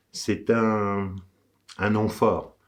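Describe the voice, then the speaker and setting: A man speaks at a medium pitch. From France, Savoie (Courchevel area). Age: 60s. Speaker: local election candidate. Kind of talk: campaign address. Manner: hesitant, with frequent fillers.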